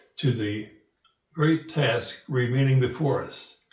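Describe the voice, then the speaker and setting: Room echo is audible around a man of medium pitch. He speaks at a moderate pace with fairly even intonation. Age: 80s+. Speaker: elderly citizen sharing views. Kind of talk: personal commentary; reading aloud. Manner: halting.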